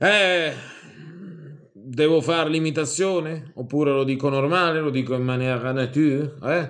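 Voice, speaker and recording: A man speaks at a fairly slow pace with fairly even intonation and very even loudness, leaving long, frequent pauses against a quiet background. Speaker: video commentator. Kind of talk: angry rant. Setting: online video. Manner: loud, exasperated, indignant. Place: home room. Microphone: webcam.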